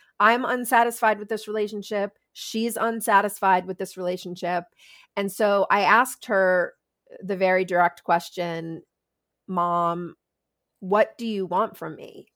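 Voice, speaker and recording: An ordinary speaking voice at a fairly slow pace, with ordinary pitch variation, big swings in loudness, and a very clean recording with a silent background. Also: woman, medium pitch for a woman. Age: 50s. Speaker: sex educator and author. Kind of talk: interview.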